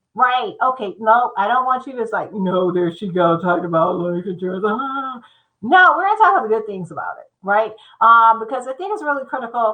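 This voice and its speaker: With a normal speaking voice, a woman with an American accent talks at a fairly quick pace, fairly high in pitch, with lively intonation. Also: big swings in loudness. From Michigan. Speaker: insurance consultant. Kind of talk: livestream talk. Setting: livestream.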